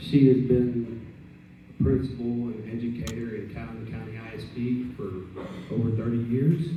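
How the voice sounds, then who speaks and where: A man with an American accent at medium pitch, big swings in loudness, fairly even intonation and a moderate pace, plus audible room echo and noticeable background noise. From Texas Gulf Coast, Port Lavaca. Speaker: political candidate. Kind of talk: candidate speech.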